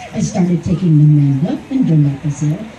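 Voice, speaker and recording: Over crowd noise in the background, a woman talks at a moderate pace. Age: 70s. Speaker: speaker with Alzheimer's disease at charity walk. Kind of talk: prepared speech read aloud. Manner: formal.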